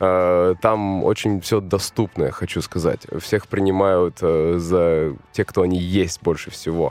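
A man with a very deep, low pitch speaks very slowly in a monotone, flat delivery at very even loudness. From New Zealand (born in Russian Far East). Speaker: interview guest, expat returnee. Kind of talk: interview.

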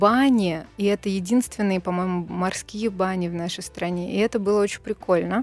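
The pace here is moderate, delivered in an unremarkable speaking voice. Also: woman. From Russia, Bryansk. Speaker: TV presenter. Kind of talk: casual chat.

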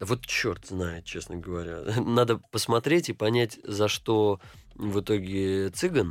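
On a very clean recording with a silent background, a man with a fairly low pitch talks at a very slow pace with ordinary pitch variation. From St. Petersburg, Russia. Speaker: actor. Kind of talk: interview.

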